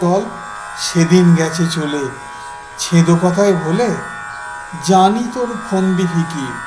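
Over music in the background, a man speaks with a high pitch. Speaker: reciter. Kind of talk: poetry reading.

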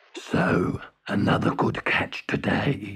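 A man puts on a raspy, growling character voice, fairly low in pitch. He speaks at a very slow pace. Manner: gruff, pleased.

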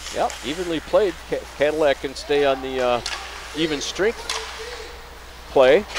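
A man with an American accent speaks fairly slowly at a fairly high pitch, with ordinary pitch variation and long, frequent pauses. The sound is dry with no echo, and there is noticeable background noise. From US Midwest. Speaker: sports commentator. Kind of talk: live commentary. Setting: commentary booth at ice rink. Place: stadium.

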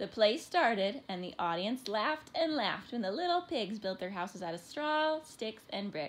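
Lively intonation in a natural reading voice

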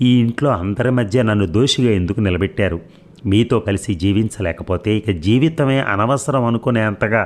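A man's ordinary speaking voice, fairly low in pitch, with ordinary pitch variation, very even loudness and a quiet background. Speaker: audiobook narrator. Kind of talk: reading aloud.

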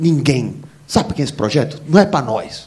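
A man's voice with very wide pitch swings. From Recife, Brazil. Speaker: stand-up comedian. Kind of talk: stand-up comedy. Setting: stage with audience. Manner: animated, profane, self-deprecating. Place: stage. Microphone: handheld.

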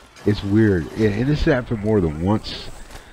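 Fairly slow speech from a man, noticeable background noise behind it. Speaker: gaming YouTuber. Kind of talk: gameplay commentary voiceover. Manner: halting, many fillers and repeats.

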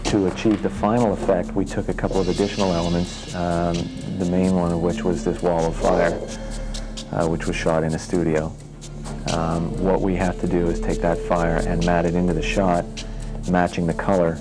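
Clear music plays behind a man whose very deep, low voice holds very even loudness at a moderate pace. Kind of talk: interview answer. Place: office. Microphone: lapel.

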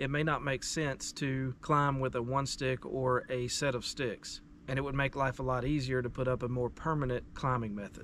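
A man speaks in a flat monotone at a moderate pace. The sound is dry with no echo, over light background noise. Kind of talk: tutorial. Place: forest.

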